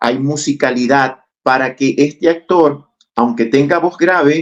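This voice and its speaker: His intonation is fairly even. The man keeps a fairly slow pace. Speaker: actor and acting teacher. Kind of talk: podcast interview.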